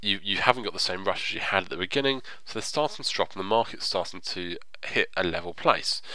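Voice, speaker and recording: Through noticeable background noise, a man with a fairly low pitch speaks at a very fast pace. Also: ordinary pitch variation. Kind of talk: tutorial narration, screen-recorded game guide. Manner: explanatory, conversational.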